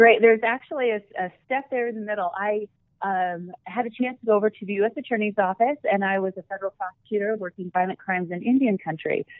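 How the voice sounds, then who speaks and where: A woman with an Upper Midwest accent talks at a very fast pace with hardly any pauses, her medium pitch showing ordinary variation. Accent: Upper Midwest American. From rural South Dakota, US Midwest. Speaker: attorney and research center director. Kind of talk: interview.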